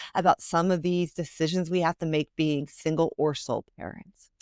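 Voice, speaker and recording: A woman with a Philadelphia accent in a dry, close sound with no echo. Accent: Philadelphia American. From Philadelphia, US. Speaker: financial planner and author. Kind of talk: podcast interview. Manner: fast.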